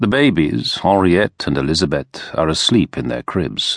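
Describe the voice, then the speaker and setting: With a dramatic tone and vocal fry, a man speaks at a moderate pace in a very deep, low pitch that makes very wide pitch swings. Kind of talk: audiobook narration of a historical novel. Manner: measured, dramatic, storytelling tone with dry irony.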